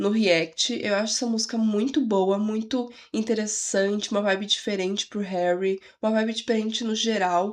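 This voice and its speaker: A woman speaks quietly at a fairly high pitch. Her pitch varies in an ordinary way. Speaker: music reaction youtuber. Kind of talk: casual reaction video. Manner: quiet voice.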